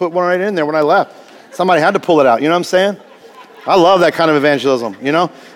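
Over crowd noise in the background, a man with an American accent talks very fast at a high pitch with ordinary pitch variation. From US Midwest, Indiana. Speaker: pastor. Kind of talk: sermon. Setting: church. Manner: casual, animated.

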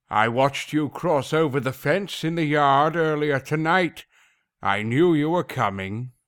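A man's fairly high voice at a moderate pace, with very even loudness and ordinary pitch variation. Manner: menacing, mocking, commanding.

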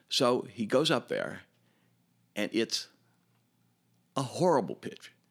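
A man with a Chicago accent speaks very slowly at a medium pitch, with lively intonation and long, frequent pauses. The recording is very clean, with a silent background. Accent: Chicago American. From US Midwest, Chicago. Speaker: former summer camp camper and counselor. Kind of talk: casual interview reminiscence. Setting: in-person studio interview. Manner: halting, repeats words.

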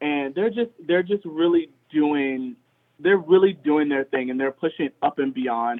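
With an American accent and a plain, everyday voice, a man talks at a fairly slow pace and a fairly high pitch, his intonation lively. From Richmond, Virginia. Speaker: dance studio co-owner and choreographer. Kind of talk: interview. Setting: phone call.

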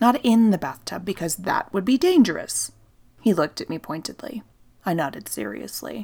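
A woman's medium-pitched voice with a dark, mellow tone, vocal fry, and very wide pitch swings, on a very clean recording with a silent background. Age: 30s. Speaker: podcast host and storyteller. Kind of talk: scripted narration. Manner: calm, soothing.

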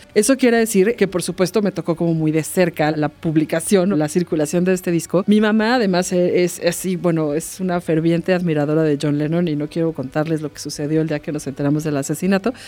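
A normal speaking voice moves at a fairly quick pace with hardly any pauses. Its pitch varies in an ordinary way. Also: woman, fairly low pitch for a woman. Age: 40s. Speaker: art professor and podcast co-host. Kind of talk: casual chat.

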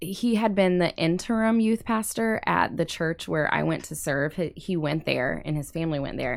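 A woman with an American accent and a normal speaking voice, fairly slow with lively intonation, on a very clean recording against a silent background. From Indiana. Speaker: campus pastor. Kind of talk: casual interview. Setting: studio.

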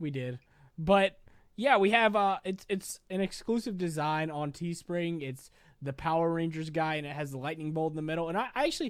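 With lively intonation and a moderate pace, an unremarkable speaking voice comes through on a very clean recording with a silent background. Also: man. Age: 20s. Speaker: podcast co-host and YouTuber. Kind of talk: casual chat.

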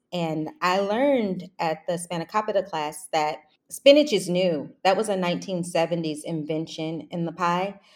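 A woman with a plain, everyday voice talks at a moderate pace with hardly any pauses, fairly low in pitch with ordinary pitch variation. The recording is very clean, with a silent background. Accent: American. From Kentucky, Louisville (US South). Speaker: chef. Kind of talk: interview.

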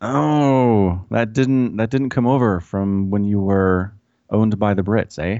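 An ordinary speaking voice, a man with a fairly low pitch and an American accent, at a fairly slow pace with ordinary pitch variation. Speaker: podcast host. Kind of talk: casual chat. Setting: remote call.

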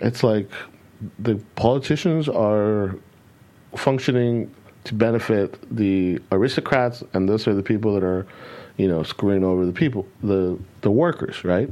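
A man with an American accent speaks in a fairly low, dark, mellow voice with ordinary pitch variation. His pace is moderate, with long, frequent pauses. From California, US. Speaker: podcast co-host. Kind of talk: casual chat.

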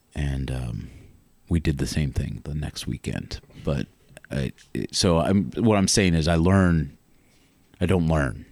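Speaking with an American accent, a man has a very deep, low pitch and ordinary pitch variation, going at a fairly slow pace with long, frequent pauses. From Northern Virginia. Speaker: storyteller. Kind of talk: personal storytelling. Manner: halting, many fillers.

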